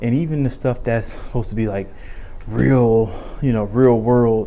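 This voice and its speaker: Noticeable background noise and audible room echo around a man's fairly slow speech. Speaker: vlogger. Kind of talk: casual vlog monologue.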